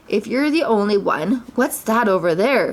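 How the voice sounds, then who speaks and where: A woman puts on a character voice at a fairly high pitch. It sounds raspy. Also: moderate pace. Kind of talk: bedtime story reading. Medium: read story. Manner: soft, slow, innocent.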